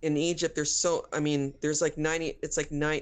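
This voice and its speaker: A very deep, low-pitched voice of a woman. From US Midwest and Bay Area, Egyptian immigrant family. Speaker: guest interviewee. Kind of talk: casual chat. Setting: remote call. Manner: halting.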